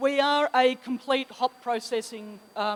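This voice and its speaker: A woman talks with an Australian accent. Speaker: sales manager. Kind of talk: conference presentation.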